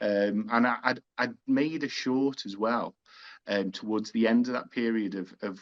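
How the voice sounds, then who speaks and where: A man with a Liverpool accent speaks at a fairly low pitch and moderate pace in a dry, close sound with no echo. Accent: Scouse. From Liverpool, England. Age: 40s. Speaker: film director. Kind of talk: interview. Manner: halting.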